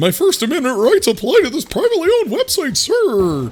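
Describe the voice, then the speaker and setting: Someone does a put-on character voice at a high pitch and a fairly quick pace, with light background noise behind it. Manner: indignant, entitled.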